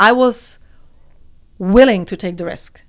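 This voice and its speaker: A woman speaks at medium pitch and a moderate pace with lively intonation. The recording is very clean, with a silent background. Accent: Czech. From Czech Republic, rural village. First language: Czech. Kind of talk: interview.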